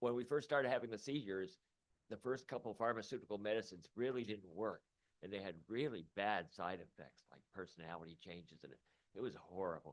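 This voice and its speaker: An ordinary speaking voice from a man, fairly low in pitch, with lively intonation and big swings in loudness. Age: 60s. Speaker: radio host and cannabis patient testifying. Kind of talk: public hearing testimony.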